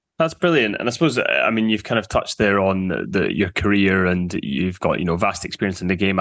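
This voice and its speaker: Speaking at a very fast pace, a man uses a fairly low pitch with ordinary variation. The background is quiet. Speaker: podcast host. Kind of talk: interview. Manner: formal.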